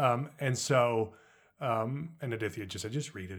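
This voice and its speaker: A man with an American accent speaks at medium pitch and a moderate pace. The recording is very clean, with a silent background. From US Southwest, Los Alamos, New Mexico. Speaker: screenwriter. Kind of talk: interview. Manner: halting, repeats words.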